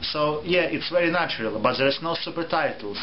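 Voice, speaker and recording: Against noticeable background noise, a man speaks at a moderate pace with a Russian accent. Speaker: theatre reviewer. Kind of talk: review vlog. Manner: halting.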